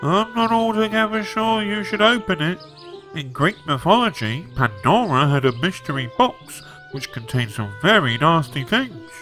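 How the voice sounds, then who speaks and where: Clear music plays behind a man doing a cartoonish character voice at a high pitch. His pitch swings very widely at a moderate pace. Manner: pedantic, talkative.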